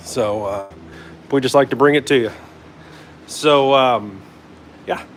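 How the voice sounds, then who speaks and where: Over noticeable background noise, a man talks at a fairly slow pace with a medium pitch and ordinary pitch variation. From Northern Kentucky / Cincinnati area. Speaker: hot rod builder and livestream host. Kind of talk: live workshop stream. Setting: home garage. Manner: casual, many fillers.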